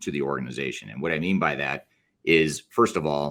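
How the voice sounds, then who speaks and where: Ordinary pitch variation runs through a voice marked by vocal fry. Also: man. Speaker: business consultant. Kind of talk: webinar presentation. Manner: fast.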